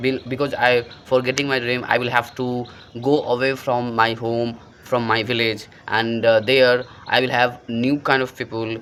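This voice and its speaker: Over noticeable background noise, the speaker talks at a fairly slow pace with a monotone, flat intonation. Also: man. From rural India. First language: Hindi or a local Indian language. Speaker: English learning content creator. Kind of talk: motivational talk to camera. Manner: halting, many fillers.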